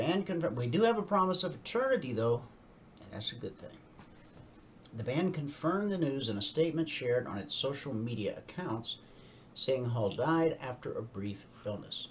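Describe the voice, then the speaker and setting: At a moderate pace, a somewhat breathy man with fairly high pitch makes very wide pitch swings and big swings in loudness. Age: 60s. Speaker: radio host and trading educator. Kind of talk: news reading with commentary and trading tutorial. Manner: conversational asides while reading news.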